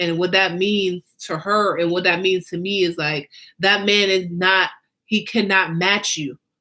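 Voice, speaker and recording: Intonation holds fairly even. The tone comes across bright and sharp. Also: woman. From Jamaica. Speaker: fashion designer and show host. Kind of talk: casual monologue.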